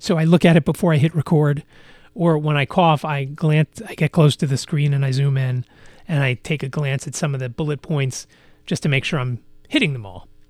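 With an American accent, a man talks at a fairly quick pace in a fairly high, somewhat breathy voice with ordinary pitch variation, on a very clean recording with a silent background. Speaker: podcast host. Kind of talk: casual solo podcast monologue. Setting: home studio. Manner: frequent filler phrase you know.

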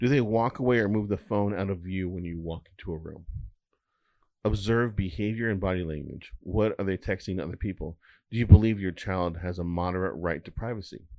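Here a man speaks in a plain, everyday voice at a fairly quick pace. His pitch is fairly low, with ordinary variation. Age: 40s. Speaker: cybersecurity guest. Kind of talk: casual chat.

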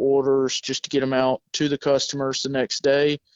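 A man with a Southern US accent talks at a moderate pace in a monotone, flat intonation. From South Georgia. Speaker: welding sales employee.

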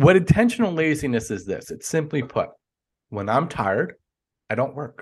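Moving at a moderate pace, a man with a fairly high pitch and vocal fry shows very wide pitch swings, big swings in loudness and long, frequent pauses. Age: 40s. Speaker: life coach. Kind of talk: casual interview chat.

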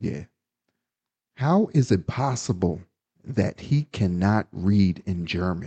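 With an American accent, a man speaks at a very slow pace, using lively intonation and long, frequent pauses. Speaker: podcast co-host. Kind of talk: casual chat.

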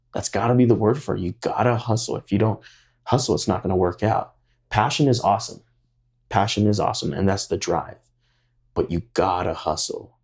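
Somewhat breathy, a man with a fairly low pitch talks at a fairly quick pace with long, frequent pauses, in a very clean recording with a silent background. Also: ordinary pitch variation. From Hawaii. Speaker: hip-hop dance studio owner. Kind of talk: interview.

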